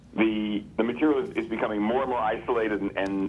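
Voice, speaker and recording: A man talks at a fairly quick pace. His pitch is fairly low, with fairly even intonation. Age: 60s. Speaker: comic book artist and writer. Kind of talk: casual chat. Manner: halting, many repeated words.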